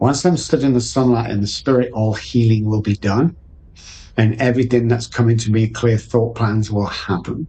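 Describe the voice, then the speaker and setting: A man with an English accent, somewhat breathy and medium in pitch, at a moderate pace with fairly even intonation. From England. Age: 60s. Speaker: addiction recovery coach. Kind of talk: podcast interview.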